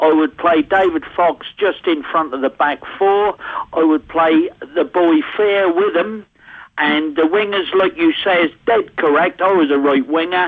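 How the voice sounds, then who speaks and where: Fairly slow speech in a Norfolk accent, with ordinary pitch variation and very even loudness. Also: man, high pitch for a man. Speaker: football fan. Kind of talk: radio phone-in call.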